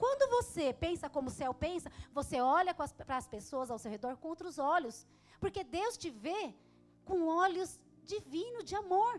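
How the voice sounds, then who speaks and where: A woman speaks loudly at a moderate pace. Her extremely high pitch swings very widely. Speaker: pastor. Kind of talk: sermon.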